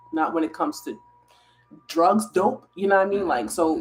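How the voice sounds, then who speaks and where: Music plays behind this woman as she talks. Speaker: wellness content creator. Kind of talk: casual live stream chat. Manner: quiet, talking low.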